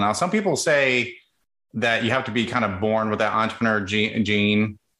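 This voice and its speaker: A man with an ordinary speaking voice talks at a moderate pace with a fairly low pitch. The background is quiet. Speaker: podcast host. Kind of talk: casual interview.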